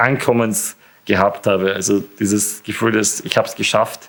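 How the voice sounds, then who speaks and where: Man with a fairly low pitch, flat monotone intonation, moderate pace. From Austria, Burgenland. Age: 20s. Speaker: university student with muscle disease. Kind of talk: interview. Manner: hesitant with frequent fillers.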